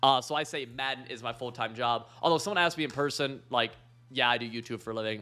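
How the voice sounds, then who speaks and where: A man speaks very fast with vocal fry. His tone is bright and sharp, with ordinary pitch variation. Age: 20s. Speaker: YouTuber and pro video gamer. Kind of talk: Q&A monologue. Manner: halting, many fillers.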